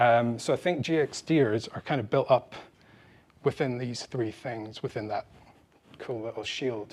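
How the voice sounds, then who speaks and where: A man is speaking. The background is quiet. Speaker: conference speaker, game experience designer. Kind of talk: talk at a meetup. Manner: fast.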